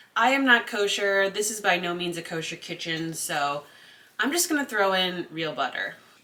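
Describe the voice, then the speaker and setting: A woman speaks at a medium pitch with an American accent. Her pace is fairly slow, and there is noticeable background noise. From Connecticut, US. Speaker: cooking vlogger. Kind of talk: casual cooking tutorial. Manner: chatty, talkative.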